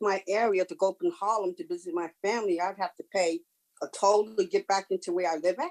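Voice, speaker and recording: A woman speaks in an ordinary speaking voice at a medium pitch and a moderate pace, with ordinary pitch variation. The sound is dry and close, with no echo. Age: 60s. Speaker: member of the public giving testimony. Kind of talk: public hearing testimony.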